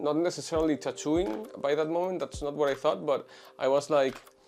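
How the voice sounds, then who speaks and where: At a moderate pace, a man with a Spanish accent speaks at a fairly high pitch. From Venezuela. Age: 20s. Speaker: tattoo artist. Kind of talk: interview. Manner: halting, many fillers.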